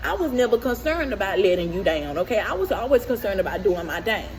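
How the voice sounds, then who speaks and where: A woman talks at a fairly quick pace in an animated tone. There is noticeable background noise. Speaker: vlogger. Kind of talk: casual monologue vlog. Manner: fast.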